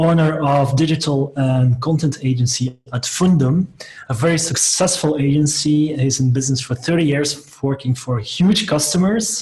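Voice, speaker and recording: Very even loudness and a moderate pace over noticeable background noise. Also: man, fairly high pitch for a man, ordinary pitch variation. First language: Dutch (Flemish). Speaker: software company co-founder and webinar host. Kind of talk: interview. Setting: video call webinar.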